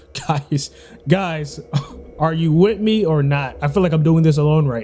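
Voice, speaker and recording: A man's fairly high-pitched voice at a moderate pace, with ordinary pitch variation, big swings in loudness and noticeable background noise. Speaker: gaming streamer. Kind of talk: let's play commentary; reading aloud. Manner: quiet and tense.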